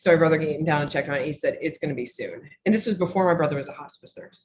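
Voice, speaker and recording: A woman speaks at a very fast pace with an American accent. Her voice is very deep and low, and somewhat breathy. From US Midwest, rural northwest Missouri. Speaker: author and business owner. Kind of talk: interview, personal testimony. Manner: halting, with self-corrections.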